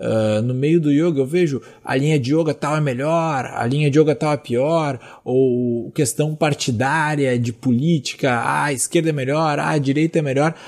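On a very clean recording with a silent background, a man with a fairly high pitch speaks at a moderate pace with fairly even intonation. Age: 20s. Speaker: yoga teacher. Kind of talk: solo monologue. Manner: hesitant, many fillers.

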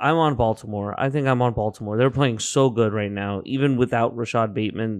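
A man with an unremarkable speaking voice, medium pitch and fairly even intonation, hardly any pauses, in a quiet background. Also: fairly quick pace. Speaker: podcast co-host, sports bettor. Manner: laid-back, teasing, chiming in with laughs.

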